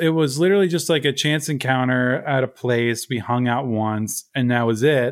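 Using a plain, everyday voice, a man with an American accent speaks at moderate pace and medium pitch with ordinary pitch variation. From Baltimore, Maryland. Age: 30s. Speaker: indie rock musician. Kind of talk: casual interview.

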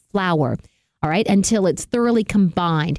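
A woman with an American accent at a very fast pace, very wide pitch swings throughout, on a very clean recording with a silent background, dry and close with no echo. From US South. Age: 50s. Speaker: radio host. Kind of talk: tutorial; casual chat. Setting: studio.

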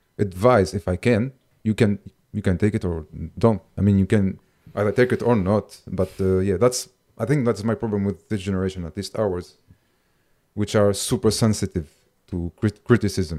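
A man with a French accent talks at a moderate pace in a fairly low, dark, mellow voice with fairly even intonation, recorded dry and close with no echo in a very clean recording against a silent background. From southern France. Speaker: podcast host. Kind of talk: casual interview.

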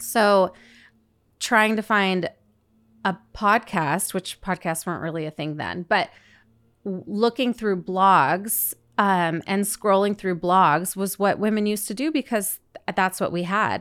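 A woman's medium-pitched voice in a Southwest US accent, fairly slow, with ordinary pitch variation, on a very clean recording with a silent background. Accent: General American (Southwest US). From Arizona, Phoenix area. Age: 30s. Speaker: podcast host, foster and adoptive mother. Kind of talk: casual monologue. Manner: conversational with frequent fillers.

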